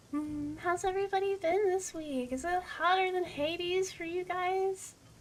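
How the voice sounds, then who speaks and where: A soft-spoken woman at an extremely high pitch, moderate pace and ordinary pitch variation, against noticeable background noise. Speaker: VTuber gaming streamer. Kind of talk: casual live-stream chat while gaming. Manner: soft-spoken, naturally quiet voice.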